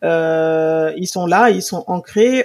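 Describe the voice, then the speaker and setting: A woman talks with fairly even intonation. The recording is very clean, with a silent background and a dry, close sound with no echo. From Senegal. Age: 40s. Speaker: purchasing director and Instagram influencer. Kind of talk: interview conversation.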